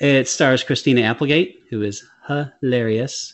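A man is speaking at a fairly slow pace. His pitch variation is ordinary. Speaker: movie review podcast co-host. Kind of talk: casual chat. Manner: animated.

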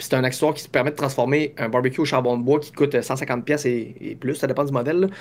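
A man speaks at a fairly quick pace, his fairly high pitch held in fairly even intonation. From Quebec. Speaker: business founder. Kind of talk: interview. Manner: halting.

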